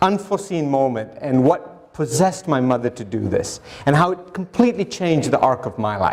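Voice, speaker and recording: With very wide pitch swings and a moderate pace, the voice comes through over noticeable background noise. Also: man. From Sri Lanka, then Africa from age nine. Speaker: conservation scientist and TV host. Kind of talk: public lecture. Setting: stage with audience. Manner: conversational, informal.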